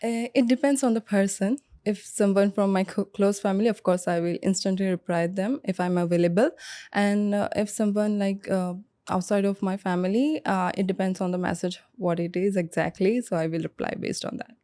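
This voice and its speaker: A woman with an Indian accent speaks at medium pitch and a fairly quick pace, with ordinary pitch variation. Her tone is dark and mellow, the sound dry and close with no echo, and the recording very clean over a silent background. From India, Mumbai. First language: Bengali. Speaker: IELTS test candidate, cabin crew. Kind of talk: mock speaking exam interview. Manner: hesitant, many fillers.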